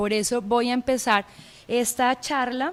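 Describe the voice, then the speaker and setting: A woman in a Bogotá accent speaks slowly and fairly evenly in a high voice, at a fairly slow pace. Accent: Bogotá (rolo) accent, acquired. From Colombia, Pereira. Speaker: anthropology professor. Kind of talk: lecture. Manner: hesitant, many filler sounds.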